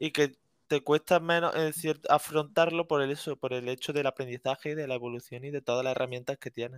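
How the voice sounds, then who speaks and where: A man has an unremarkable speaking voice, fairly high in pitch, with fairly even intonation and a fairly quick pace. The sound is dry and close, with no echo. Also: very clean recording, silent background. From Andalusia, Córdoba. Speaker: student. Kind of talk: casual chat.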